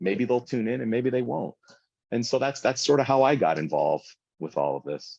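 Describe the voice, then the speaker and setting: Fairly quick speech with very wide pitch swings and vocal fry. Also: man, medium pitch for a man. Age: 40s. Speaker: food content creator and small business owner. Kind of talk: casual interview chat.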